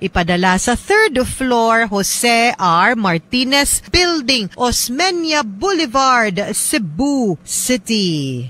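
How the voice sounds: This woman's pitch is fairly high, with big pitch swings. Her tone is fairly bright.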